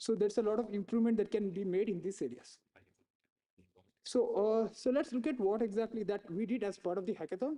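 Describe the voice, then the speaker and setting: Very fast speech with an Indian accent. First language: Tulu. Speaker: researcher presenting hackathon work. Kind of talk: conference presentation. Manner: frequent fillers (you know, uh).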